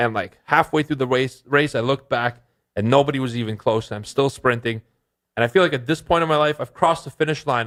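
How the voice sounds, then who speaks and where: An unremarkable speaking voice from a man with a Canadian accent, medium in pitch with ordinary variation, at a fairly quick pace, in a very clean recording with a silent background. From Canada (immigrated from Bulgaria at seven). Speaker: trading podcast co-host and author. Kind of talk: casual podcast chat.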